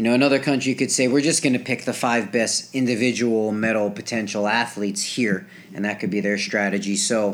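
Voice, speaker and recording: A man's ordinary speaking voice at a medium pitch, with a fairly quick pace and ordinary pitch variation. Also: hardly any pauses. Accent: American. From New Jersey. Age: 20s. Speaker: gymnast. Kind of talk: casual chat. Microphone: old equipment, some feedback and quiet.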